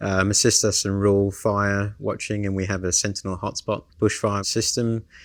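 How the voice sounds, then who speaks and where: Speaking with an Australian accent, a man uses a fairly low pitch and monotone, flat intonation. His pace is moderate, with hardly any pauses. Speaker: ground station manager. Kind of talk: interview.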